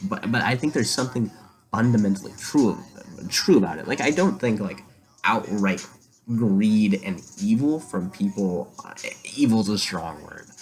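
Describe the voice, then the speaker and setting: Soft-spoken and fairly low in pitch, a man talks at a moderate pace with lively intonation. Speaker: vlogger. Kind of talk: casual monologue to camera. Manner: halting, many fillers.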